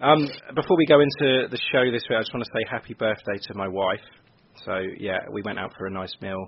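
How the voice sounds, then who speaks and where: A man talks at a fairly quick pace with an ordinary speaking voice. His pitch variation is ordinary. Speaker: podcast host. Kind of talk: casual chat, football podcast.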